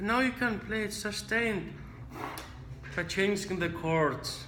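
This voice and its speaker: The speaker has a non-native accent. Room echo can be heard. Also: man. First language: not English. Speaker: trombone teacher. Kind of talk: tutorial.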